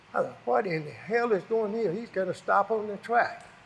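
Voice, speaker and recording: With a Southern US accent, a high-pitched man speaks at a moderate pace with ordinary pitch variation. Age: 80s+. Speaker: retired racing driver. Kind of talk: storytelling interview. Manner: casual, rambling storytelling.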